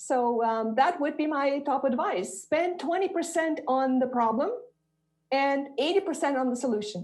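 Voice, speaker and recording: At a moderate pace, the speaker's intonation stays lively. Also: woman, high pitch for a woman. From Romania. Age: 60s. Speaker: investor and panelist. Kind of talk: panel discussion.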